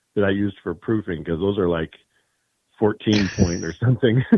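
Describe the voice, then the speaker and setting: A man's fairly low, dark and mellow voice at a fairly quick pace, with a dry, close sound and no echo. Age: 60s. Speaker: tarot deck creator. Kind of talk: casual interview.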